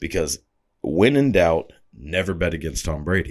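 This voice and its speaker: Using vocal fry, a man speaks at a fairly slow pace with lively intonation. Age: 20s. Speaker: podcast host. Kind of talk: casual monologue. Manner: casual with many filler words.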